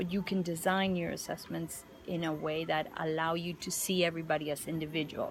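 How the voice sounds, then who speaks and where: Flat, monotone intonation runs through this non-native accent. The pace is fairly quick. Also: woman, fairly low pitch for a woman. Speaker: teaching mentor. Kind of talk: mentoring feedback conversation. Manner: halting, many fillers and repetitions.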